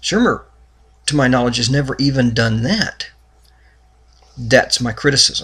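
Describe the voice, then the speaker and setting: Bright, sharp tone from a man with vocal fry, medium pitch, moderate pace and long, frequent pauses. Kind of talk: religious commentary talk to camera.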